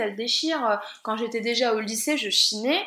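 A woman uses a raised, projected voice with lively intonation. Noticeable background noise and audible room echo fill the recording. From France, Lorraine (Guénange). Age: 30s. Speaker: vintage clothing entrepreneur. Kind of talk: interview.

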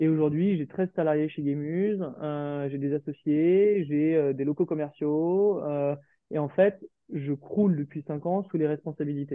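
At a fairly slow pace, the speaker keeps a fairly even intonation. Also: man. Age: 30s. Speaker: restaurant founder and chef. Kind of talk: interview. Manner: hesitant.

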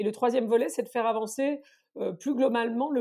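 Her tone is dark and mellow. The woman's intonation stays fairly even. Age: 50s. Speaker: consultancy founder. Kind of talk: interview.

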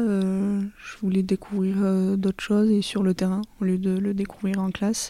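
Her pitch medium and her tone dark and mellow, a woman speaks with monotone, flat intonation. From southern France, Lot. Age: 20s. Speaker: agricultural apprentice. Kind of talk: interview. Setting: at her home. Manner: hesitant, many fillers.

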